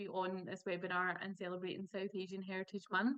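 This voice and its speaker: A woman speaks with a Scottish accent. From Scotland. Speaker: pharmacist. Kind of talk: panel webinar talk.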